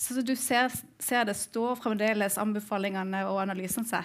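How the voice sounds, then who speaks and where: Against a quiet background, a woman speaks at a medium pitch. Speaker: event moderator, think tank project leader. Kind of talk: event moderation. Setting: stage with audience. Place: stage.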